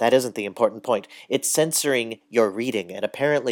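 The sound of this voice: The reading is in an unforced reading voice with ordinary pitch variation.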